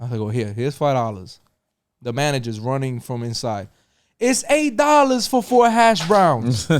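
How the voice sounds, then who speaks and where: Speaking in a New York accent at a moderate pace, a man sounds animated on a very clean recording with a silent background. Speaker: podcast host. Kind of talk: casual chat. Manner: expletive-laden.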